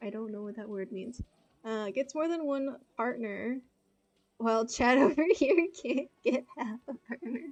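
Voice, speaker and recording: A woman speaks at a very slow pace in a high pitch with an American accent and ordinary pitch variation. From United States. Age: 20s. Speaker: video game streamer. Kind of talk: casual chat. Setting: live stream.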